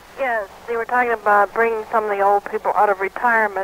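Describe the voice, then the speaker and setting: A woman's medium-pitched voice, dry and close with no echo, over noticeable background noise. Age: 70s. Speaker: caller. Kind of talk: call-in comment.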